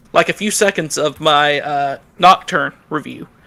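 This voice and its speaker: A man with an American accent and a fairly high pitch speaks at a fairly slow pace, his bright, sharp tone held to fairly even intonation. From US South. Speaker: YouTube content creator, podcast guest. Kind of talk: casual chat.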